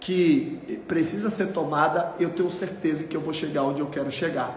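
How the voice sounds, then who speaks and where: There is audible room echo along with light background noise. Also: man. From Brazil. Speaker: motivational YouTuber. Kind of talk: motivational talk. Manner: animated. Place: home room.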